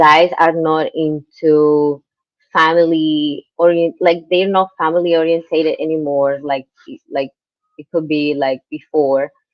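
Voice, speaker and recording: Her voice is very deep and low for a woman, delivered in a monotone, flat intonation at a fairly slow pace. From Colombia. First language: Spanish. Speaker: guest interviewee. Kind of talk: interview conversation. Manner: halting.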